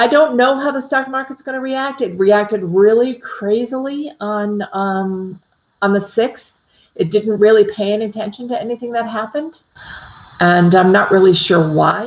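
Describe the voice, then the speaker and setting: A woman with an American accent speaks at a moderate pace in a fairly high voice. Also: ordinary pitch variation. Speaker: psychic medium. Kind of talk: casual livestream chat with viewers. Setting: live stream. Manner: chatty, many fillers.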